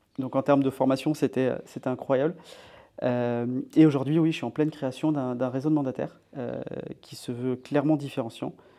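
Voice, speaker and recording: A man at medium pitch with a dark, mellow tone, monotone, flat intonation and a fairly quick pace, against a quiet background. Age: 30s. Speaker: real estate investor and entrepreneur. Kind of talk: casual interview chat.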